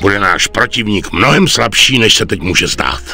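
A man talks over clear background music. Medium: fan dub. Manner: calm, authoritative.

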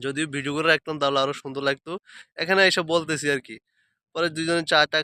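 The man's tone is bright and sharp, while his intonation stays monotone and flat. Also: dry, close sound with no echo. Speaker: vlogger. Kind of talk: vlog monologue. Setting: outdoors.

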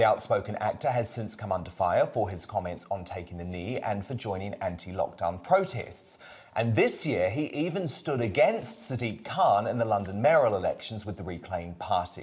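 A man with a fairly low, somewhat breathy voice moves at a moderate pace with lively intonation. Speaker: TV presenter. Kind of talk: broadcast presenting and interview question. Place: studio.

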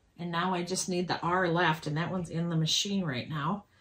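A woman speaks at a fairly low pitch. Noticeable background noise runs behind her. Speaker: quilting vlogger. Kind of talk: casual tutorial chat. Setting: home sewing room, video. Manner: casual, hesitant with fillers.

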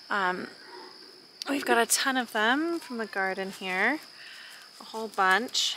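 There is light background noise as a woman speaks at a fairly slow pace in a bright, sharp tone, with a dry sound and no echo. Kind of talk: casual vlog chat. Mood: warm, enthusiastic. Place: garden. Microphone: phone near.

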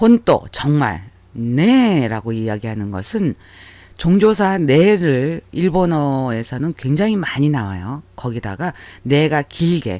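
On a very clean recording with a silent background, a man speaks very slowly at a fairly high pitch, his voice making very wide pitch swings. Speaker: Japanese language teacher. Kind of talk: lecture.

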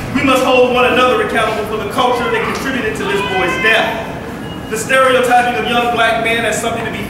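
In a room with strong echo and noticeable background noise, a man talks at a fairly quick pace with hardly any pauses. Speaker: rally speaker. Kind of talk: rally speech.

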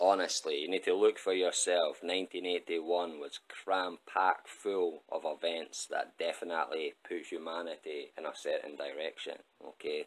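Hardly pausing at all, a man speaks at a fairly slow pace. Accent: Scottish. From Scotland. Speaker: astrology YouTuber. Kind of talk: solo video monologue.

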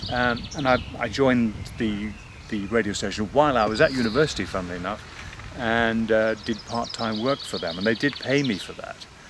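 A man's voice, dry with no echo, shows ordinary pitch variation against noticeable background noise. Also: fairly quick pace. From Northern Ireland. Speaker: voice actor. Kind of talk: interview answer. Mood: relaxed, reflective. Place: garden.

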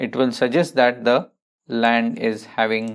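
A man at a very slow pace with fairly even intonation, over a quiet background. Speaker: painting instructor. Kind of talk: tutorial.

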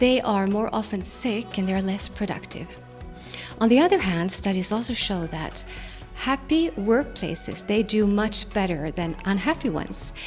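Over faint music in the background, the speaker moves at a moderate pace with lively intonation. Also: woman. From Sweden. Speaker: workplace happiness consultant and speaker. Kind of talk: event promo talk to camera. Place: studio. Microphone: handheld.

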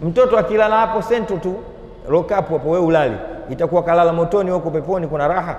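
There is audible room echo as a man rattles along at a very fast pace in a high voice with ordinary pitch variation. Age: 50s. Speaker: Islamic preacher. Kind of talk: sermon. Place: hall. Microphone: lapel.

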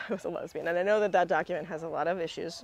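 A woman with a fairly low pitch talks at a very fast pace, the sound dry with no echo. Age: 40s. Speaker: music commentary youtuber. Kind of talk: video essay monologue. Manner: conversational, filler words. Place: garden.

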